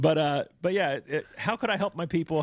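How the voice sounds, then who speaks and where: A man's fairly high voice with an American accent at a moderate pace, dry and close with no echo, on a very clean recording against a silent background. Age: 40s. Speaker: church elder and podcast host. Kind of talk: interview conversation.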